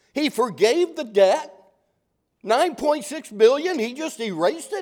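A man speaks at a very slow pace in an extremely high voice. His pitch swings very widely. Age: 60s. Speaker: pastor. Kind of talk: sermon. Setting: church.

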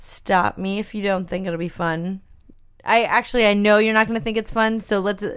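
A woman's plain, everyday voice with an American accent, medium in pitch, at a moderate pace with fairly even intonation. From Los Angeles. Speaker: podcast co-host. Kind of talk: casual chat.

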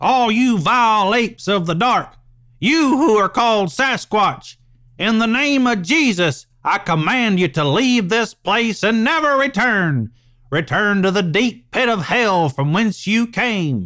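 A man puts on a character voice, high in pitch. He speaks at a fairly slow pace in a raised, projected voice. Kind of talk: solemn, scriptural. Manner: angry, commanding, forceful.

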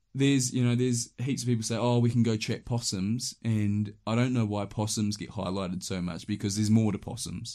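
In a New Zealand accent, a man talks at a fairly quick pace with hardly any pauses and fairly even intonation. His medium-pitched voice has a dark, mellow tone, on a very clean recording with a silent background. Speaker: hunting guide. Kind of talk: casual chat. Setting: recorded in sleeping bags indoors.

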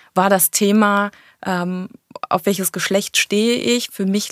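A woman with an unremarkable speaking voice, medium pitch, and a moderate pace. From Germany, Cologne. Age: 30s. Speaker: tourism manager. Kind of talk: interview.

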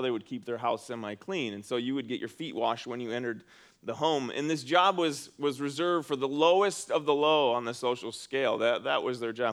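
A man talks at a fairly quick pace at a medium pitch, in a plain, everyday voice. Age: 40s. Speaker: pastor. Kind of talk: sermon. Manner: conversational.

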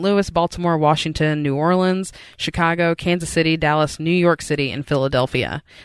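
Against a quiet background, a woman with an unremarkable speaking voice talks at a moderate pace, her fairly low pitch held in fairly even intonation. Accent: American. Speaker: podcast co-host, journalist. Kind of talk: casual chat.

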